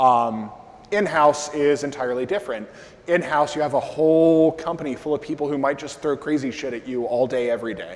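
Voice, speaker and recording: A fairly high-pitched man at a moderate pace, with ordinary pitch variation. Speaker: conference speaker on SEO. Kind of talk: conference talk with audience Q&A. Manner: loud; casual, filler-heavy.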